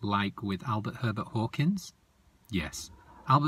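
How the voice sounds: What you hear is a natural reading voice.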